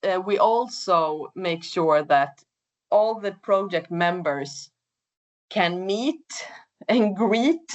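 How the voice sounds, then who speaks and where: Speaking very slowly with a Swedish accent, a woman uses a medium pitch and lively intonation. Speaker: project coordinator. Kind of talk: webinar presentation. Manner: hesitant, with fillers.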